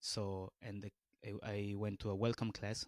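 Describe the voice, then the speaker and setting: The speaker has a Peruvian accent. The pace is fairly slow. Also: man. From Peru, northern Lima. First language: Spanish. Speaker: beatboxer. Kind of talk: podcast interview. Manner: halting, many fillers and restarts.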